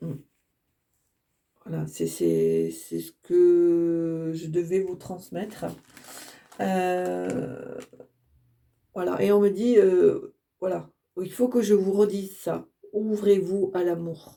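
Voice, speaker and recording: A woman speaks at a very slow pace, with long, frequent pauses. Her loudness swings widely. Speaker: tarot card reader. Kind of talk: channeled oracle card reading. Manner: halting.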